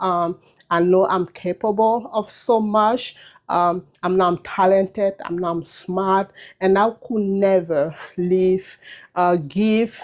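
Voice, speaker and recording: Medium pitch from a woman, very slow pace, fairly even intonation. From Cameroon. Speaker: cosmetologist and trichologist. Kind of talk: personal video message. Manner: unscripted, with many fillers and hesitations.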